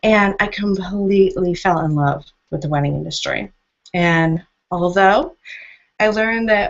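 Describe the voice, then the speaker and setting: An unremarkable speaking voice from a woman, moderate in pace and medium in pitch, with lively intonation. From United States. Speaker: wedding marketing consultant. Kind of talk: webinar presentation. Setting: video call.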